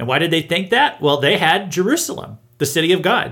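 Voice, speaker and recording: A man with an American accent and a bright, sharp tone talks at a moderate pace in a very clean recording with a silent background. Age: 30s. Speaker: pastor and podcast host. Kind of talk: Bible teaching monologue.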